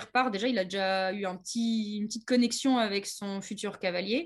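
A woman with an ordinary speaking voice and a medium pitch talks with ordinary pitch variation over a quiet background. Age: 30s. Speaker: horse trainer. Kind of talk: interview.

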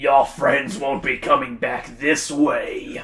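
A man's put-on character voice at a very slow pace. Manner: evil, menacing.

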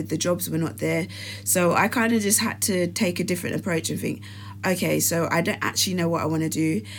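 Her fairly low-pitched voice moves at a very fast pace as the woman speaks. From England, Nigerian family. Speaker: podcast co-host. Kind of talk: casual chat. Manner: animated.

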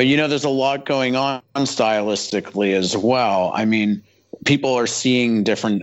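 Intonation stays fairly even as a man talks in a normal speaking voice. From Canada, Toronto. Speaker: film art director and illustrator. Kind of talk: casual interview chat.

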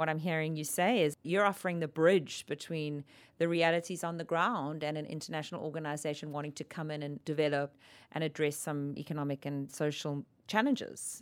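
A woman's very deep, low-pitched voice with fairly even intonation. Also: fairly quick pace, very clean recording, silent background. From South Africa. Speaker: ombudsman, dispute resolution specialist. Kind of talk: casual interview conversation.

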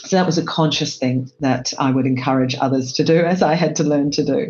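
Music plays in the background as a woman with a very deep, low voice speaks at a fairly quick pace. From Australia. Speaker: HR executive. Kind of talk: panel discussion. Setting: video call.

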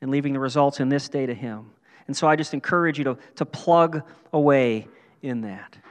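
Against a quiet background, a man with a normal speaking voice talks at a fairly quick pace in a fairly high pitch, with ordinary pitch variation. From western Pennsylvania and western New York. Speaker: pastor. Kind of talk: sermon. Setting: church.

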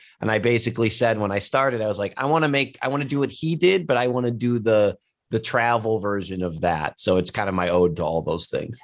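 A man with an American accent talks at a very fast pace with hardly any pauses. His medium-pitched voice has lively intonation. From US Midwest, Cleveland area. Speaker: wine show host and sommelier. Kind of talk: interview.

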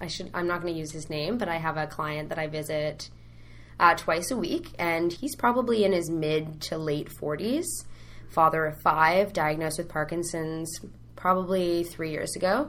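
Canadian accent at a moderate pace, with ordinary pitch variation and audible room echo. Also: woman, fairly low pitch for a woman. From Canada, Ottawa. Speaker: program coordinator at a youth charity. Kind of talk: interview.

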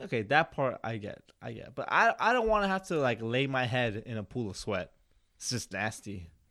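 A bright, sharp tone comes through mumbled speech with very wide pitch swings. The recording is very clean, with a silent background. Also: man, medium pitch for a man, moderate pace. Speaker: podcast host. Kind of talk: casual chat. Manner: mumbling.

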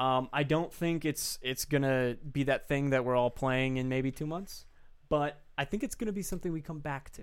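He has a normal speaking voice, a man with a fairly high pitch, ordinary pitch variation and a moderate pace. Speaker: podcast co-host. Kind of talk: casual chat.

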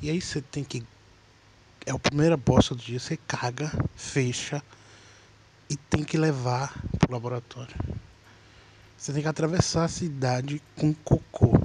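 Long, frequent pauses break up this man's fairly slow speech. His voice is somewhat breathy and fairly high, with fairly even intonation. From Minas Gerais, Brazil. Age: 20s. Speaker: podcaster, aspiring comedian. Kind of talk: casual comedic monologue.

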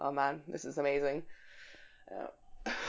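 A woman speaks with a Scottish accent. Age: 20s. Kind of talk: casual interview chat.

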